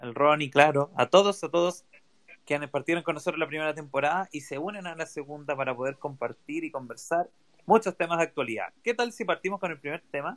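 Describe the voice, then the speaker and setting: A man talks at a fairly quick pace in a plain, everyday voice with a fairly high pitch, ordinary pitch variation and big swings in loudness, all in a dry, close sound with no echo. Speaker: podcast co-host. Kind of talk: casual chat. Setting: Twitter Spaces audio room.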